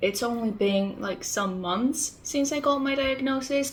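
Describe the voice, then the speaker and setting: Lively intonation comes through in a Spanish accent, with audible room echo and noticeable background noise. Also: woman. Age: 20s. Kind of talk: casual vlog talk.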